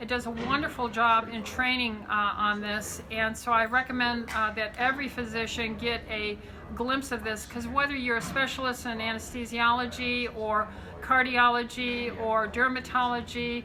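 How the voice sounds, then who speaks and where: In an American accent, a woman speaks at a moderate pace with a fairly high pitch and monotone, flat intonation. Audible room echo and noticeable background noise surround her. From Southern California. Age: 60s. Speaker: physician. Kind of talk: interview talk. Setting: medical conference. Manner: hesitant with many fillers.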